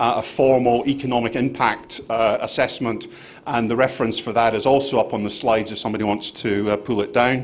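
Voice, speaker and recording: A man speaks in a Scottish accent at a medium pitch and a fairly quick pace, with fairly even intonation. Noticeable background noise and audible room echo are present. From Scotland. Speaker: conference speaker, angel investment fund manager. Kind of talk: conference presentation. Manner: hesitant, many fillers.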